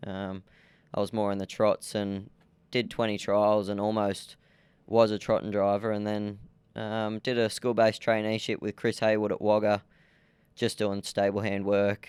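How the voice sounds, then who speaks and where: In a rural Australian accent, a man speaks at a fairly low pitch with monotone, flat intonation. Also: moderate pace. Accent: country Australian twang. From Australia, rural New South Wales (Young, Southwest Slopes). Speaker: jockey. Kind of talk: interview.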